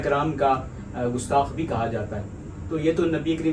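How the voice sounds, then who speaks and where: Noticeable background noise behind speech of ordinary pitch variation. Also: man. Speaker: interviewer / host. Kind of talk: interview question.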